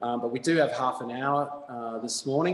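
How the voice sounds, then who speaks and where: A man with an Australian accent. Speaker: fitness instructor. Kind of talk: exercise class instruction. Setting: video call. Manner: loud.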